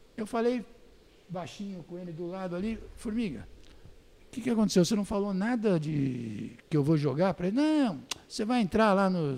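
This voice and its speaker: With a dark, mellow tone and a high pitch, a man speaks at a moderate pace, his pitch swinging very widely between long, frequent pauses. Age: 60s. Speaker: former press officer and journalist. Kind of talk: casual interview storytelling.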